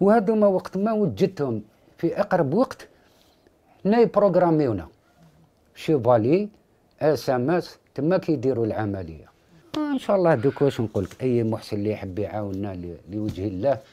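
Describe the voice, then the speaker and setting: A man with a dark, mellow tone speaks at a moderate pace, his pitch swinging very widely. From Algeria. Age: 50s. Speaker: father of a sick child. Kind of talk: interview testimony. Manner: halting. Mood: worried, pleading for help. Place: home room.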